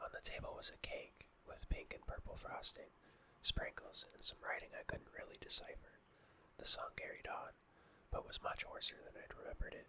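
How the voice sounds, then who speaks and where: Someone is whispering. The pace is moderate. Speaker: ASMR narrator. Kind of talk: horror story reading. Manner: whispered.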